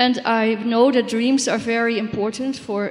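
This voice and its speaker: A woman's fairly high voice at a fairly slow pace. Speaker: audience member, dream therapist. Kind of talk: audience question.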